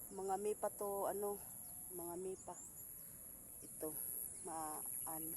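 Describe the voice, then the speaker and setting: In a Visayan accent, the speech moves at a very slow pace. Long, frequent pauses break it up. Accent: Visayan accent in Tagalog. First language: Cebuano (Bisaya) (speaking Tagalog). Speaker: farming vlogger. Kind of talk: casual vlog narration.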